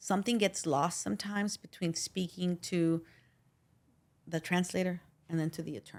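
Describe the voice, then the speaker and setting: With a slight Spanish accent, a woman of fairly low pitch speaks at a moderate pace with fairly even intonation and long, frequent pauses. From Los Angeles, Pico Union. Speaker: personal injury attorney. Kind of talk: interview conversation.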